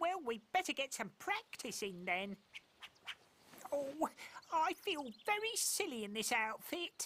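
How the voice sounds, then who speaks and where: A high, cartoonish character voice swings very widely in pitch at a fairly slow pace, with long, frequent pauses. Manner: mild, hesitant.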